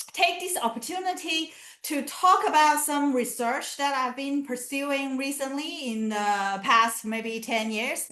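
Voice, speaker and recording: A woman's raised, projected voice, high-pitched and bright, sharp in tone, with lively intonation at a very slow pace. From southern China (Canton). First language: Chinese. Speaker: academic researcher. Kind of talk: lecture. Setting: video call. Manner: halting.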